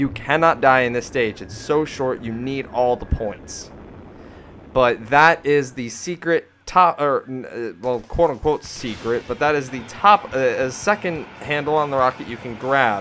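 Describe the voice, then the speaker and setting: Music plays in the background while a man speaks at a medium pitch. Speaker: gaming youtuber. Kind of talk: let's play commentary.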